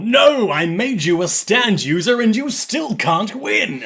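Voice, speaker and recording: A man puts on a character voice pitched high for a man. He speaks at a fairly slow pace over light background noise. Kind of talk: nineties dub style voice acting.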